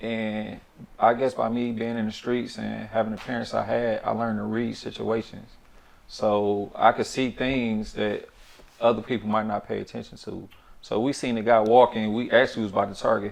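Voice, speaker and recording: A soft-spoken man talks at a moderate pace in a medium pitch, his intonation flat and monotone. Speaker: former offender. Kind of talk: casual interview.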